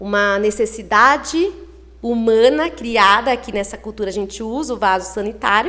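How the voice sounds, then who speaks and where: In a plain, everyday voice, a woman talks at a moderate pace and fairly high pitch, with ordinary pitch variation and big swings in loudness. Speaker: early childhood teacher. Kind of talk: interview.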